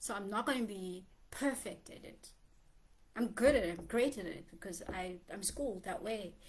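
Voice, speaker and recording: A woman talks at a moderate pace and medium pitch with ordinary pitch variation. Her loudness swings widely. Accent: South African. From South Africa. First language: Xhosa. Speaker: poet and writer vlogger. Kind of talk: casual vlog monologue. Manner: conversational with many fillers.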